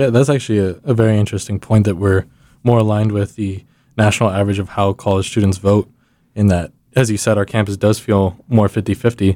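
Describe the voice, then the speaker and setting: A man with an American accent, fairly low in pitch and dark, mellow in tone, at a very fast pace with fairly even intonation on a very clean recording with a silent background. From Texas. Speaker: student podcast host. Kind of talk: scripted closing speech; casual podcast discussion.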